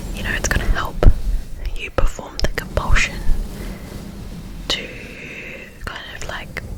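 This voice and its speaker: Someone whispers in a gentle tone at a fairly slow pace, with noticeable background noise behind. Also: woman. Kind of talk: ASMR reassurance talk. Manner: soft-spoken, gentle.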